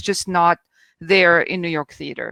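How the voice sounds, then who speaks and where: A woman with a French accent at a moderate pace, in a dry, close recording with no echo. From France. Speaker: theater critic. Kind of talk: panel discussion.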